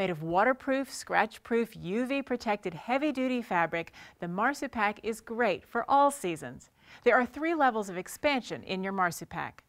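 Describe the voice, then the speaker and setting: The woman's intonation is lively. The background is quiet. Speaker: presenter. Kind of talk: product presentation. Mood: upbeat promotional. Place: studio.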